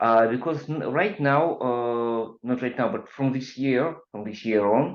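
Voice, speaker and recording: Ordinary pitch variation with audible room echo. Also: man. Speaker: IT consultant and webinar presenter. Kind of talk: technical webinar lecture. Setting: online webinar. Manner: halting, many fillers.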